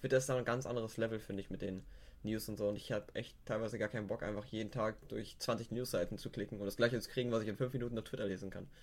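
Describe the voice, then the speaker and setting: A man speaks very fast at a medium pitch. His intonation stays flat and monotone. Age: young. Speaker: guest. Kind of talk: casual chat.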